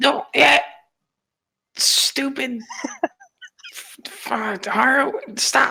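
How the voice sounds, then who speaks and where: A man puts on a character voice that is raspy and extremely high. He speaks at a very slow pace. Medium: actual play. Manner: stammering, rambling.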